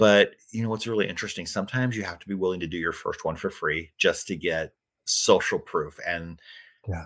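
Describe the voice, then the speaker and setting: On a very clean recording with a silent background, a man with a normal speaking voice talks at a fairly quick pace and fairly low pitch, with ordinary pitch variation and big swings in loudness. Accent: American. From US Midwest. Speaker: author and radio host. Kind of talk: casual interview.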